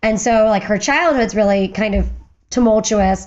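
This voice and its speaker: A woman with an American accent speaks with fairly even intonation. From western Pennsylvania. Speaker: firearms historian, former museum curator. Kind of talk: podcast interview. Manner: fast.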